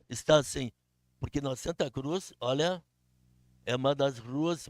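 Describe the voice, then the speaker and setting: A man speaks very slowly in a fairly high voice, with a dry, close sound and no echo. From southern Brazil, Canoas. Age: 80s+. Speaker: local resident speaking at public hearing. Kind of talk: public comment at town hearing.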